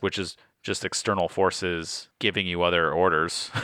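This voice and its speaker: The man's voice has a bright, sharp tone, recorded very cleanly with a silent background and a dry, close sound with no echo. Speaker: board game podcast co-host. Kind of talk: casual chat.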